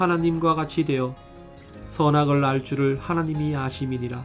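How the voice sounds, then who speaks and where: Music plays behind a man whose voice sits fairly high. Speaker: audiobook narrator.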